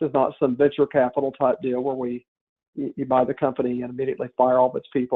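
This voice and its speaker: A man is talking. He speaks with a Southern US accent. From US South. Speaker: company partner. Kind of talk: business webinar presentation. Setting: webinar. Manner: halting, many fillers and restarts.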